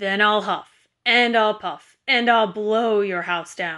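A woman's put-on, growling character voice at medium pitch and a fairly slow pace, set against a quiet background

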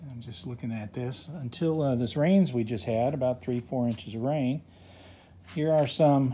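A man speaks with a dark, mellow tone and ordinary pitch variation. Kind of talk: casual vlog chat. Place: garden. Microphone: phone near.

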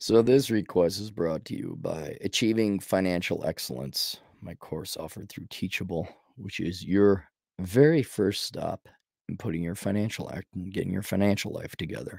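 A man puts on a character voice, hoarse and fairly low in pitch, at a moderate pace with big swings in loudness. The recording is very clean, with a silent background. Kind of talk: sponsor read in a podcast. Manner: promotional ad read.

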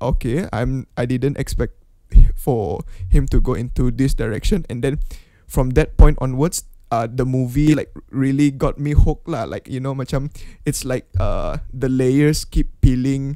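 A man's medium-pitched, dark and mellow voice at a moderate pace, with ordinary pitch variation, dry sound without echo and a quiet background. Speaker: film reviewer. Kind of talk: casual movie review to camera. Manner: hesitant, stuttering. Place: home room. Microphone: studio mic.

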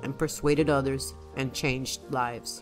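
A woman's fairly slow speech with music in the background. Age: old. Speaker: retired teacher. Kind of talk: casual talk to camera.

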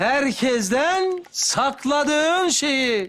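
Very slow and lively in intonation, the put-on character voice carries a fairly bright tone. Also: man, extremely high pitch for a man.

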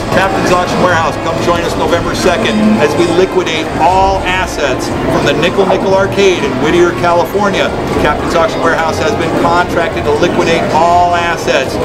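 A man talks at a fairly quick pace while loud music plays in the background. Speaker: auctioneer. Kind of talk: auction promotional announcement. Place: hall.

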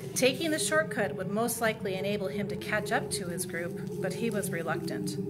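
A woman talks at a moderate pace. Loud noise fills the background. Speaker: community leader. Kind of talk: reading aloud. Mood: hushed, eerie tone. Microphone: phone near.

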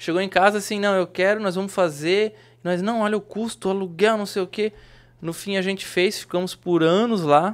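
A man talks at a moderate pace. His pitch is high and his intonation fairly even. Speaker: real estate agent; podcast guest. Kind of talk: casual interview; interview answer. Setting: studio. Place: studio. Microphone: studio mic.

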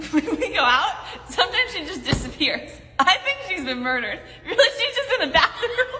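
A woman projects a raised voice at a fairly quick pace, her loudness swinging widely and her pitch moving through very wide swings. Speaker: content creator. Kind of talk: comedic storytelling to camera. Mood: playful, teasing. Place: hall. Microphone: phone near.

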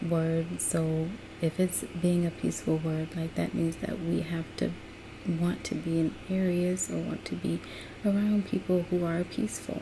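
A woman with an American accent speaks at a fairly slow pace in a fairly low, flat monotone, with noticeable background noise. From United States. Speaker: ASMR creator. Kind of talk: casual encouraging commentary. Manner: soft, gentle whisper. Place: home room. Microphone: webcam.

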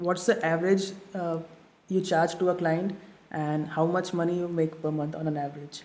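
Speaking at a fairly quick pace, a high-pitched man keeps a monotone, flat intonation and takes long, frequent pauses. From India. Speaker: YouTube marketing channel host. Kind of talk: interview, casual chat. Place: home room. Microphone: studio mic.

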